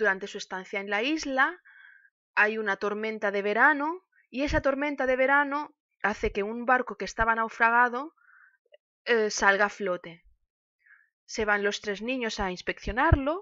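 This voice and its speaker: Over a quiet background, a woman speaks at a moderate pace with a bright, sharp tone and lively intonation, taking long, frequent pauses in a dry sound with no echo. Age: 30s. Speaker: music teacher and streamer; book streamer. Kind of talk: casual book talk; casual stream talk, book review. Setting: live stream. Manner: halting. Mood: warm, nostalgic. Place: home room. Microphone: webcam.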